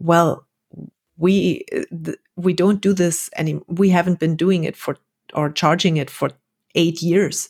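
A woman with a German accent and a fairly low pitch speaks at a moderate pace with fairly even intonation in a very clean recording with a silent background. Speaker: expat wife. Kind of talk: casual chat.

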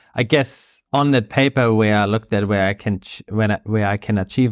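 A man with a German accent speaks at a moderate pace and a fairly low pitch. The recording is very clean with a silent background and a dry, close sound with no echo. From Germany (Bavaria). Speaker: surf coach and sports development manager. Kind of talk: interview. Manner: halting.

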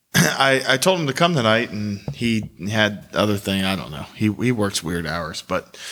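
Over music in the background, a man with a fairly low pitch talks at a moderate pace, his pitch swinging very widely. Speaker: podcast host. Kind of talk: casual chat.

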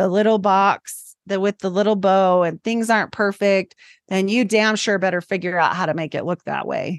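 A woman talks in a normal speaking voice at a moderate pace with ordinary pitch variation. The sound is dry and close with no echo, over a quiet background. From Idaho, US. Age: 40s. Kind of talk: casual interview.

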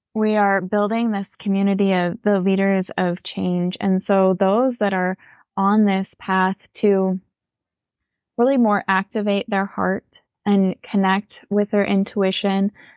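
Over a quiet background, a woman at a medium pitch talks at a fairly slow pace in a monotone, flat intonation with very even loudness. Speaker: intuitive healer.

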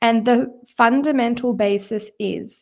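A woman in an ordinary speaking voice talks at a fairly high pitch with ordinary pitch variation on a very clean recording with a silent background. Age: 20s. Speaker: psychotherapist and mindset coach. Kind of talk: solo podcast monologue.

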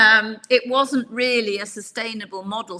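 Here we have a normal speaking voice. The rise and fall of its pitch is ordinary. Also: woman. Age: 60s. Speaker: executive coach. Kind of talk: interview.

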